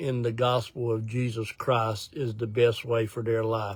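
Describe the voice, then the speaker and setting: A man's medium-pitched, somewhat breathy voice holds a monotone, flat intonation. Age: 60s. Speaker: ministry director. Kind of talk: casual update talk to viewers. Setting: in a parked car, live video. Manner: casual, with fillers and hesitations.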